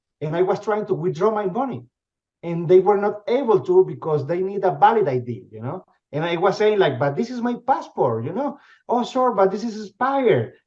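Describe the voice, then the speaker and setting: A man with a Spanish accent speaks at a high pitch and a fairly quick pace. His voice has very wide pitch swings and big swings in loudness. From Venezuela. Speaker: company CEO. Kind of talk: interview. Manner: halting, many repetitions and fillers.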